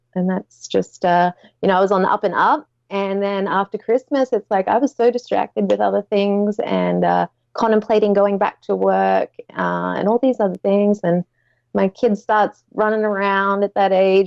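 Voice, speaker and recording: Someone with an Australian accent speaks at a moderate pace in a dry, close sound with no echo. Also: woman. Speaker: Etsy seller. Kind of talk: casual chat. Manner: loud.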